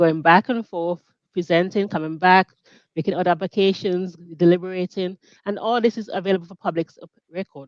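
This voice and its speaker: Delivered at a fairly quick pace with a Caribbean accent, the voice makes big swings in loudness. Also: woman, medium pitch for a woman, fairly even intonation. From Grenada. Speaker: mediator and business founder. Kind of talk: interview. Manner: halting.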